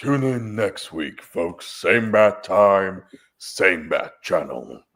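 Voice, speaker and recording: A booming, put-on character voice with a dramatic tone at a very slow pace. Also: man, fairly low pitch for a man. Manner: grand, booming, dramatic.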